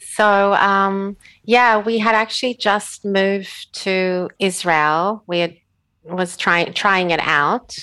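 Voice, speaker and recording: Speaking at a very slow pace, a woman uses fairly even intonation. Her pitch is medium, and she has an Australian accent. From Australia (Sydney). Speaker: author and animal protection advocate. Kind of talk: casual interview chat. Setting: remote call from home.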